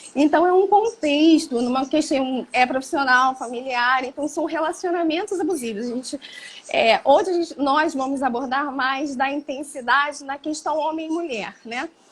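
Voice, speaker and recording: Over noticeable background noise, a woman speaks at a moderate pace in a high voice with ordinary pitch variation. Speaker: psychologist. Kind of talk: interview on psychology.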